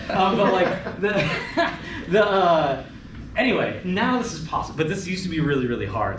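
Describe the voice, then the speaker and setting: Very wide pitch swings at a fairly quick pace, with audible room echo and noticeable background noise. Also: man. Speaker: conference speaker on statistics. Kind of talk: Q&A after a technical talk. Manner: fast; casual, filler-heavy.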